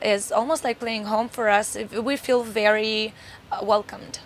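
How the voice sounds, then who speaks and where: A woman's fairly high voice in a monotone, flat intonation. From Moldova. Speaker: metal band singer. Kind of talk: interview.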